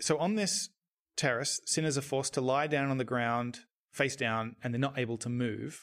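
Recorded very cleanly against a silent background, a man talks at a moderate pace and medium pitch with ordinary pitch variation. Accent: Australian. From Australia. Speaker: horror film podcast co-host. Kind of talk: casual podcast discussion.

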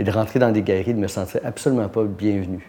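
Fairly even intonation and a fairly quick pace mark an ordinary speaking voice. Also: man. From Quebec. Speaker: art gallery owner. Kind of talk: interview. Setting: art gallery.

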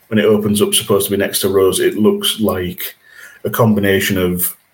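A man speaks with a Yorkshire accent at a moderate pace. His pitch is fairly low and his intonation monotone and flat. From Yorkshire, England. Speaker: podcast host. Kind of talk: casual chat.

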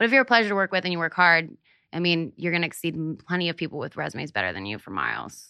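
A woman in an American accent at a fairly low pitch with vocal fry, a very fast pace, very wide pitch swings and big swings in loudness. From Pennsylvania (Hershey). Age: 20s. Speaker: operations manager for a media personality. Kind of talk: interview, casual chat.

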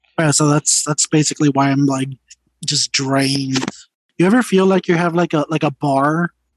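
With an unremarkable speaking voice, a man talks at a moderate pace with fairly high pitch, fairly even intonation and very even loudness, in a dry, close sound with no echo. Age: 30s. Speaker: podcast co-host. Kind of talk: casual chat.

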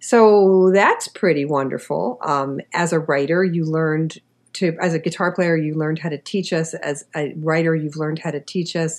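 An unremarkable speaking voice, a woman's, fairly low in pitch with fairly even intonation. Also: moderate pace, hardly any pauses. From New York City, Queens. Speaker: podcast host and writing teacher. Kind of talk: interview.

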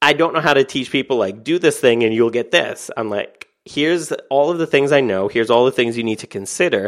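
Against a quiet background, a man with an American accent speaks at medium pitch and a fairly quick pace, with hardly any pauses and ordinary pitch variation. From Canada. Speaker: author and online entrepreneur. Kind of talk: podcast interview.

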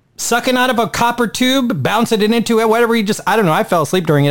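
Against noticeable background noise, a high-pitched man talks at a very fast pace in an animated tone, with lively intonation and very even loudness. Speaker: podcast host. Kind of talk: casual chat.

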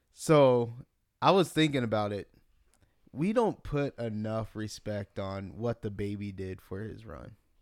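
At a fairly slow pace, a man uses a normal speaking voice at a fairly low pitch, with ordinary pitch variation and big swings in loudness. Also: very clean recording, silent background. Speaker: podcast host. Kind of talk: casual chat.

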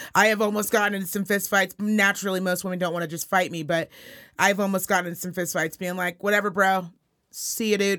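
A woman with a Californian accent talks very fast and animatedly at a medium pitch, her tone bright and sharp, on a very clean recording with a silent background. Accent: Californian-sounding American. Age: 30s. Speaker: podcast co-host. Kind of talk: casual chat.

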